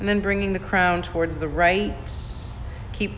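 Monotone, flat intonation in a calm, soothing tone, with music in the background. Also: woman. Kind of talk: guided yoga class with calming meditation-style cueing. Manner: slow, soft, soothing and unhurried, with gentle pauses; calm, instructive, gently encouraging.

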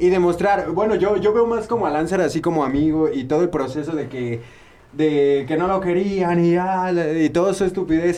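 A man speaks with a Mexican accent in a high voice. Audible room echo surrounds him. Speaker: podcast host. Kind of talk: casual chat.

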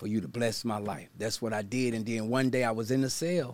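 A man speaks with an American accent, his medium pitch set to a moderate pace. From US South, Baton Rouge, Louisiana. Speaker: motivational speaker and pastor, former prisoner. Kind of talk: interview testimony.

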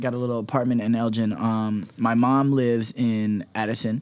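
Talking with an American accent, a man has an unremarkable speaking voice at a medium pitch with fairly even intonation. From California. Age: 20s. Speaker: dancer and dance company leader. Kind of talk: casual interview chat.

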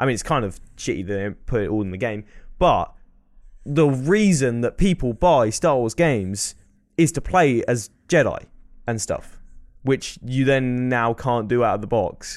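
A man with an English accent speaks at a moderate pace in a medium pitch, his intonation lively. The recording is very clean, with a silent background. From England. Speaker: podcast co-host. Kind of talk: casual chat. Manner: frequent laughter.

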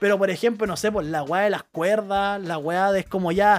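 A man speaks with a Chilean accent. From Chile, Santiago. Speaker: podcast host. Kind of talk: casual chat.

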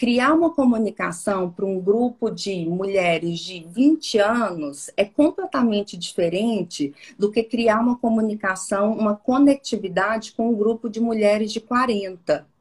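A woman speaks with a fairly high pitch, a somewhat breathy quality and lively intonation, barely pausing at all. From Minas Gerais interior, Brazil (Porteirinha). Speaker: personal branding consultant. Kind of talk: interview conversation.

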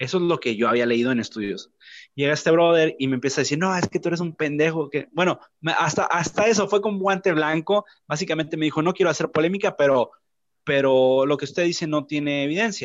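Talking at a very fast pace, a man with fairly high pitch uses ordinary pitch variation. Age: 20s. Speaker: podcast panelist. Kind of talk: casual debate.

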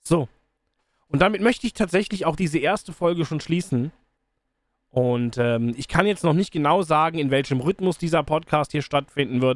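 A man with a fairly high pitch and an unremarkable speaking voice talks at a moderate pace with ordinary pitch variation, recorded dry and close with no echo, very clean over a silent background. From Rhineland, Cologne area, Germany. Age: 30s. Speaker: podcast host and streamer. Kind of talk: casual solo monologue. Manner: casual, with frequent fillers.

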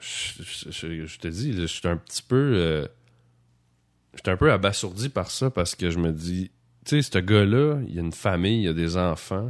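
A man with a Quebec accent speaks at a very deep, low pitch. His intonation is lively, on a very clean recording with a silent background. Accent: Québécois French. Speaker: podcast host. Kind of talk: casual chat. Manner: halting.

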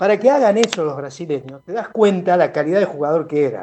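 A man's high-pitched voice with lively intonation. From Buenos Aires, La Boca. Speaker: musician. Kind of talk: interview. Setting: video call.

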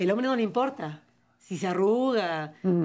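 A woman talks at a medium pitch with lively intonation. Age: 40s. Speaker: writer and poet. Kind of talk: interview. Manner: articulate, fluent.

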